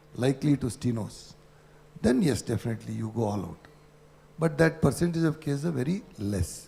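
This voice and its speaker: A man speaks at medium pitch with a dark, mellow tone and vocal fry. His pace is fairly quick, with lively intonation. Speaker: ENT surgeon. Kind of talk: conference panel discussion.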